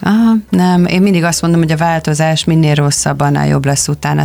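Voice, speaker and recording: Talking very quickly, a woman keeps her intonation fairly even. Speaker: pilates instructor and fitness trainer. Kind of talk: casual interview.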